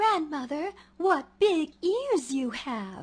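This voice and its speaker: A female-sounding, put-on character voice, high in pitch, at a very slow pace. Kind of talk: feeble, put-on old lady voice.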